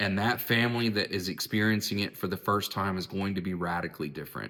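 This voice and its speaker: A man with an American accent. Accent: southern drawl when passionate. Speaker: therapist and philosophy video host. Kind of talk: reflective monologue. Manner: casual, with repetitions and false starts.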